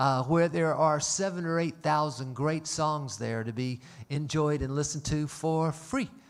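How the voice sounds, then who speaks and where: A man with a Southern US accent speaks at a moderate pace in a fairly high voice. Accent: Southern US (Georgia). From US South, Atlanta, Georgia. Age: 60s. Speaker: concert venue owner and emcee. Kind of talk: stage announcements to live audience. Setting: stage with audience, livestreamed. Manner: folksy, jokey, conversational.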